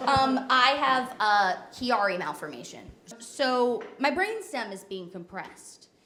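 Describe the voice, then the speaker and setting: The speaker has an American accent and talks at a very slow pace. Pitch swings very widely, and loudness rises and falls in big swings. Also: woman, high pitch for a woman. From New Jersey. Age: 20s. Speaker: comedian. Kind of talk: stand-up.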